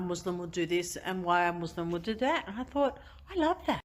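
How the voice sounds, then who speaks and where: Bright and sharp in tone, a woman talks at a fairly quick pace. Her pitch sits in the medium range. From Australia. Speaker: convert sharing her story. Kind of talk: testimony. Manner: halting, many fillers.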